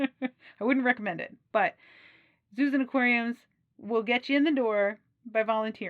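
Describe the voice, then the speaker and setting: A woman speaks with an American accent at a moderate pace and with ordinary pitch variation. The sound is dry and close, with no echo. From US Midwest, Wisconsin. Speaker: aquarium professional and channel host. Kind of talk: casual advice talk to camera. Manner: animated.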